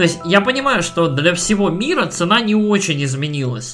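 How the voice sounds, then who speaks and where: The man's pitch is high and his intonation lively. He talks at a moderate pace with noticeable background noise. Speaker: video game podcast co-host. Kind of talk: casual chat. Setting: remote online recording.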